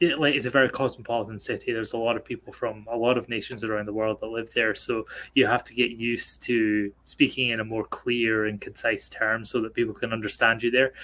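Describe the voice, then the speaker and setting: A man talks at a very fast pace with hardly any pauses. His medium-pitched voice has a bright, sharp tone and monotone, flat intonation. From northeast Scotland, rural. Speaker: racing game driver. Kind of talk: casual chat. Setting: office, streamed call. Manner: halting, many fillers.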